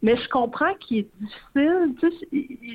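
A woman with a Quebec accent and lively intonation. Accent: Québécois French. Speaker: arts journalist. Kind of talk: casual radio interview about books.

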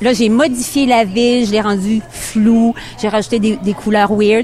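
With music in the background, a woman speaks at a fairly slow pace and a fairly high pitch. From Quebec. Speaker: painter. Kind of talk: radio interview. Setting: live radio broadcast outdoors at a safari park. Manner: hesitant, many fillers.

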